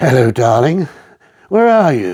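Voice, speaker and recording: A man's husky, put-on character voice with very wide pitch swings. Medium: read story. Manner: imperious, cold.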